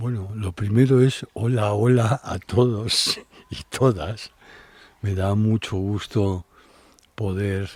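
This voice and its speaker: A man talks at a very slow pace with a fairly low pitch. The recording is very clean, the background silent. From Spain, Madrid. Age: 70s. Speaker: traveler and adventurer. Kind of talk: interview, life story.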